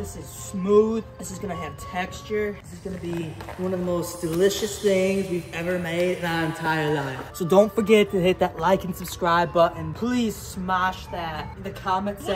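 Clear music plays behind a man speaking at a moderate pace. He hardly pauses and keeps his intonation fairly even. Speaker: YouTube challenge host. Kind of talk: casual vlog chat. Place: open country. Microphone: camera far.

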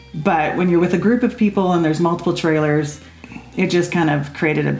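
Amid audible room echo and faint background music, a woman talks at a very fast pace in a fairly low pitch with fairly even intonation. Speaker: podcast co-host. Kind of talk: casual conversational chat. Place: home room.

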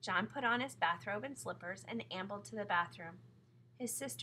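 With lively intonation, this is an unforced reading voice.

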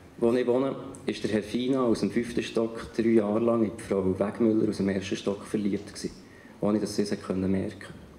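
At a fairly quick pace, a man with a fairly low pitch and fairly even intonation talks amid light background noise and audible room echo. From Bern, Switzerland. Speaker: writer and spoken-word artist. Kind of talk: poetry slam performance. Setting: live stage in front of an audience. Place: stage. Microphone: handheld.

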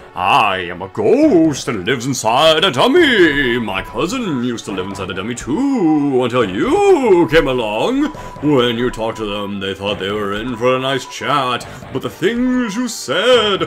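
A man uses a put-on character voice at a medium pitch. He goes at a fairly slow pace over clear background noise. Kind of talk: comic overacting. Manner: theatrical, menacing, ranting.

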